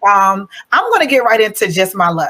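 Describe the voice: At a fairly quick pace, a woman talks at a medium pitch. Her tone is bright and sharp, with big pitch swings.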